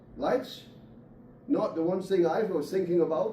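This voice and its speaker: There is audible room echo. A man speaks at a moderate pace. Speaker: poultry industry speaker. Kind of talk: conference presentation. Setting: meeting room with audience.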